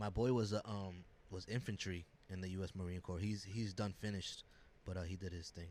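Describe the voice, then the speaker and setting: The man's voice is very deep and low. His intonation stays monotone and flat. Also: fairly quick pace. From US Northeast, child of Dominican immigrants. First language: Spanish. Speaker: graphic designer and recording artist. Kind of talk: casual chat.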